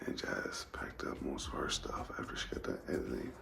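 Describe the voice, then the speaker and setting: Over music in the background, a man whispers in a room with audible echo. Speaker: travel vlogger. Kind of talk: casual vlog talk.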